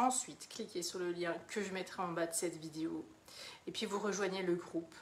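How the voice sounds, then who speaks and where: Noticeable background noise sits under this recording. A woman speaks with fairly even intonation. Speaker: mentor for women, online coach. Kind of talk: live stream monologue, self-promotion. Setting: live video. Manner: hesitant, many fillers.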